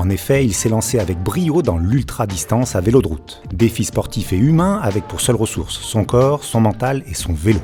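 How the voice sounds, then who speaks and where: Against music in the background, a man talks with hardly any pauses and very wide pitch swings. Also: medium pitch for a man, moderate pace. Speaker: podcast host. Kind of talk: podcast intro narration.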